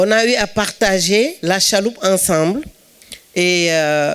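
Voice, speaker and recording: A woman with a Senegalese accent speaks at medium pitch with lively intonation. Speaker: actress. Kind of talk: speech at film event. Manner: halting.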